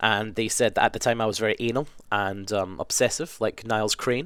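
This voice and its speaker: Very fast and fairly low in pitch, a man talks with a Scottish accent on a very clean recording with a silent background. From west coast of Scotland. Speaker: gaming video creator. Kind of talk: casual Q&A monologue. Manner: casual, hesitant with ums.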